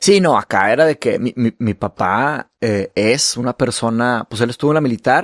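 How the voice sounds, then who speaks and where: Recorded very cleanly against a silent background, with a dry, close sound and no echo, a man talks at medium pitch and a moderate pace with ordinary pitch variation. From Brazil. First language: Portuguese (speaking Spanish). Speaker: podcast host and author. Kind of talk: casual conversation.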